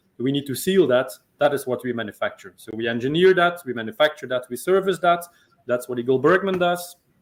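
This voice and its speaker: Speaking very fast, a man with a Belgian accent uses a fairly high pitch and lively intonation. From Belgium. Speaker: sales and marketing executive. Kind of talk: interview.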